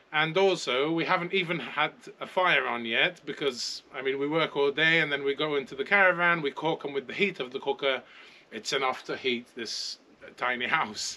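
A man is speaking here. His pace is moderate and his pitch varies in an ordinary way. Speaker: homesteader vlogger. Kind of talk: casual vlog chat. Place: garden.

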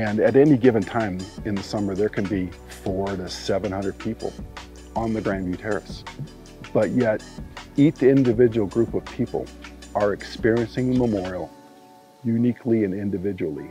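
A man with a fairly low voice speaks at a moderate pace, leaving long, frequent pauses. The sound is dry with no echo, and music plays clearly in the background. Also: ordinary pitch variation. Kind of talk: interview answer. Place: forest. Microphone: lapel.

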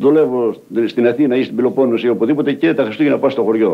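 A man is speaking. His pace is very fast. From Arta, Epirus, Greece; Epirus, Greece. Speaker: settler, former itinerant worker; interviewee. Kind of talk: documentary interview testimony. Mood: earnest, aggrieved. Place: home room. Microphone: old recording.

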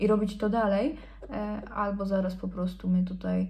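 A somewhat breathy woman's voice over a quiet background. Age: 20s. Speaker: beauty influencer; beauty vlogger. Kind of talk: casual chat. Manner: animated. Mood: relaxed, playful. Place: home room. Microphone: phone near.

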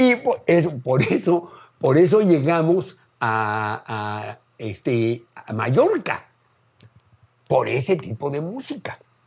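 Against a quiet background, a man speaks very slowly at a fairly high pitch. His voice makes very wide pitch swings. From Mexico City, Mexico; Mexico. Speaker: biologist and folk musician; interviewee. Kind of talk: casual interview reminiscence. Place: home room.

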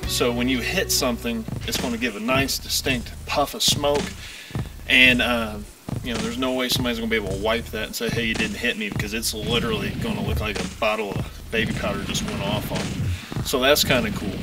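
The speaker talks at a fairly quick pace with music in the background. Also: man. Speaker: product reviewer. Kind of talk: casual product review chat. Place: open country. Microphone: camera far.

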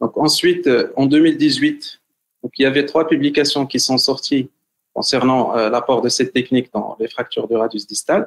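A man is speaking at a moderate pace. The background is quiet. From Morocco. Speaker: hand surgeon; presenter. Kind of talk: webinar lecture. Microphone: video call.

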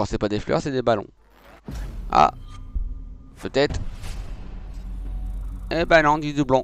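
With a northern French accent, a man talks at a fairly slow pace with ordinary pitch variation and long, frequent pauses, in a dry sound with no echo and light background noise. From northern France. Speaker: video game streamer. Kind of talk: casual gaming commentary. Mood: joking, mildly frustrated. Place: home room. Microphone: headset.

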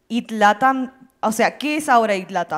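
A woman's voice with lively intonation against a quiet background. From Argentina, Mendoza; Argentina. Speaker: community leader and panel MC; panelist. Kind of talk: panel discussion. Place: stage. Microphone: handheld.

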